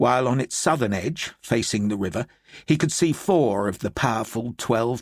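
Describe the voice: Plain reading aloud comes with lively intonation.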